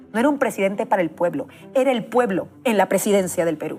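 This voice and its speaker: A woman with a Peruvian accent talks at a very fast pace, her pitch swinging very widely. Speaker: political journalist. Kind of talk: political editorial. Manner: impassioned.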